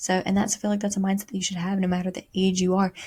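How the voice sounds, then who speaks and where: A somewhat breathy woman at medium pitch, talking at a very fast pace. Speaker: podcast host. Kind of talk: casual motivational monologue.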